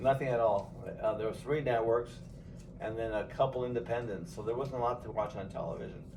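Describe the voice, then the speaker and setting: In a Californian accent, a man at a medium pitch talks at a fairly quick pace with fairly even intonation, with audible room echo around him. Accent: Californian American English. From Los Angeles, San Fernando Valley. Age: 60s. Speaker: grandfather interviewed by family. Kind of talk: casual family interview.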